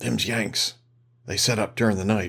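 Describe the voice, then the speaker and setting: Using a put-on character voice, a man speaks at a moderate pace and medium pitch in a calm, raspy tone. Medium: read story. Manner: gruff, folksy, calm.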